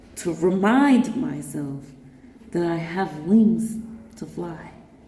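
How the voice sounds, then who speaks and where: Speaking at a very slow pace, a woman with a fairly low pitch makes very wide pitch swings, and audible room echo surrounds her. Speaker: vlogger. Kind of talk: personal vlog monologue. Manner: animated; halting, stuttering at times.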